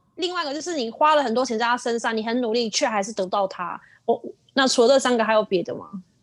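A woman talks very fast in a high voice. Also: ordinary pitch variation. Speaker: podcast co-host. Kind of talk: casual chat. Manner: calm, even.

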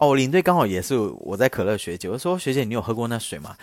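The recording is very clean and the background silent. A man speaks very fast. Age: 30s. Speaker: podcast host. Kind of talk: casual storytelling monologue. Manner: louder than before.

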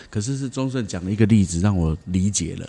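Speaking very fast, a man has a fairly low pitch and a dark, mellow tone. His pitch variation is ordinary. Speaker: podcast host. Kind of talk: casual chat.

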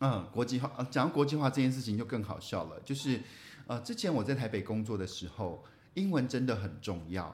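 A man's somewhat breathy, medium-pitched voice with lively intonation at a fairly quick pace. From Taiwan, Taichung. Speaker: podcast co-host, former reporter. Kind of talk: casual chat.

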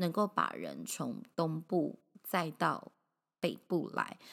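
A woman at a very slow pace. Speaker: podcast host. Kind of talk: casual monologue.

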